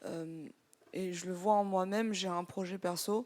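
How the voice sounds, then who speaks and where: A woman's voice of medium pitch and fairly even intonation in a very clean recording with a silent background. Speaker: software developer. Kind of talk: live audience discussion.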